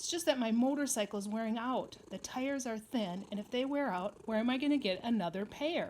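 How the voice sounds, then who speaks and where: A woman in a put-on character voice talks fairly quickly with hardly any pauses, sounding squeaky at a fairly high pitch. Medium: read story.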